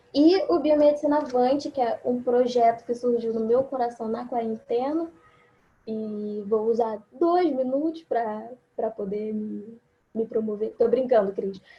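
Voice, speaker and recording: A woman's high voice unfolds at a fairly slow pace. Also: ordinary pitch variation. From Rio de Janeiro, Brazil. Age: 20s. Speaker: biomedical scientist and embryologist. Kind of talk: online forum presentation.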